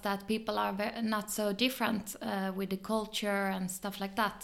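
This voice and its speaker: At a moderate pace, a woman speaks with a Swedish accent at a medium pitch. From southern Sweden, Malmö. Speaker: photographer and filmmaker. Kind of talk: interview.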